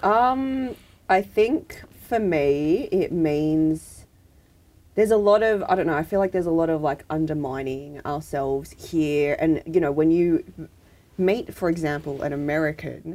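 Her voice is fairly low with a dark, mellow tone. The woman speaks at a fairly slow pace with lively intonation. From Sydney, Australia. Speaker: podcast co-host. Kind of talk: casual chat. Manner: laughs often.

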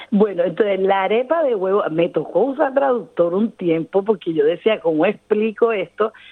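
This woman speaks at a moderate pace with hardly any pauses, her medium-pitched voice keeping a very even loudness. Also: lively intonation. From Colombia, Caribbean coast (Cartagena). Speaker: cook and small business owner. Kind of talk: interview. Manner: laughs often.

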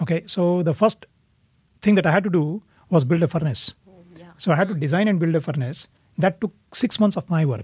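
A man's high voice in an Indian accent, fairly quick in pace yet broken by long, frequent pauses, with big swings in loudness, ordinary pitch variation, and a dry, close sound with no echo. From India (Pune, near Mumbai). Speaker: immigrant parent. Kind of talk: casual family conversation.

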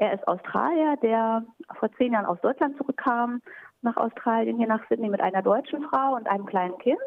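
Fairly high in pitch, a woman with an unremarkable speaking voice keeps a moderate pace, ordinary pitch variation and very even loudness. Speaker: German teacher. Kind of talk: interview.

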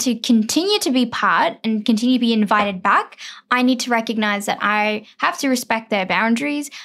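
A woman with a fairly high voice speaks with lively intonation. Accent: Australian. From Sydney, Australia (Parramatta). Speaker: writer. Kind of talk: casual chat.

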